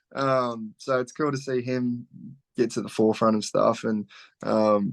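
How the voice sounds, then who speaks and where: Against a quiet background, a man with an Australian accent speaks at a moderate pace and medium pitch. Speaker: country singer-songwriter. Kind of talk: casual interview.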